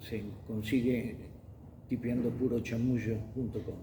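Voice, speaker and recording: In a Rioplatense accent, a man speaks very slowly with a dark, mellow, somewhat breathy tone and audible room echo. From Argentina, Buenos Aires. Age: 70s. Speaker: journalist and magazine editor. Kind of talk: testimony interview.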